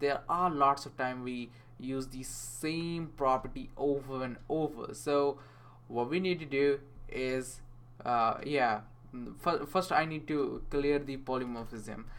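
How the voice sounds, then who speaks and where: This speaker has a non-native accent and talks at a very slow pace. The intonation stays fairly even. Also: man, fairly high pitch for a man. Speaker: programming tutor. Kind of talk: coding tutorial screencast. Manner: casual, hesitant, many fillers.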